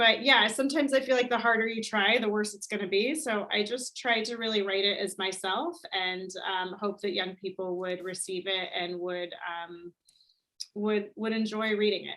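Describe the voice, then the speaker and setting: In an American accent, a woman talks at a moderate pace and medium pitch with ordinary pitch variation, in a plain, everyday voice. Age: 40s. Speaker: author. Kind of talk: casual chat.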